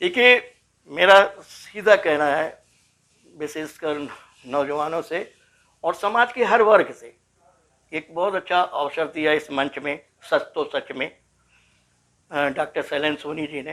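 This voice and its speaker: A man pauses long and often, and his loudness swings widely. His tone is bright and sharp, with ordinary pitch variation. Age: 60s. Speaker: former political detainee, social activist. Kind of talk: interview. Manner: emphatic, repetitive oratory.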